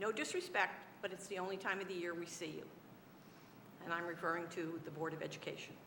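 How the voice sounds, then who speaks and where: Audible room echo surrounds a woman with a fairly low pitch and monotone, flat intonation. She talks at a very fast pace yet with long, frequent pauses. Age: 70s. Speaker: city council member. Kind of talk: council meeting debate speech. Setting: council chamber.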